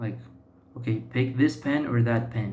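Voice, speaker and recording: With a Portuguese accent, a man speaks somewhat breathily at a medium pitch. His pace is fairly slow, and the room echo is audible. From Brazil, São Paulo. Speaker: YouTuber practicing English. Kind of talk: personal monologue vlog. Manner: halting, many fillers and self-repairs.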